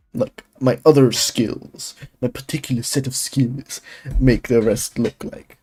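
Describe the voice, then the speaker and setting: Recorded with a dry, close sound and no echo, a man speaks fairly slowly in a dark, mellow, somewhat breathy tone with ordinary pitch variation. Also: medium pitch for a man. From Germany. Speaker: 3D artist streamer. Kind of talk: casual live stream commentary. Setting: live stream. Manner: halting, filler-heavy.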